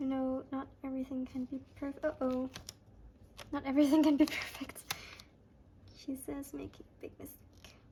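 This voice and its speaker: Noticeable background noise behind a woman's high-pitched, monotone, flat delivery at a moderate pace, broken by long, frequent pauses. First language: not English. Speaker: planner and stationery YouTuber. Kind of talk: casual craft tutorial chat. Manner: soft-spoken; hesitant, self-correcting.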